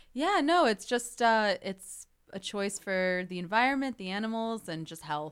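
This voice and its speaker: Speaking in an ordinary speaking voice with an American accent, a woman at a medium pitch uses lively intonation and big swings in loudness at a moderate pace on a very clean recording with a silent background. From Chicago suburbs, US Midwest. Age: young. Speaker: actress. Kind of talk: casual chat.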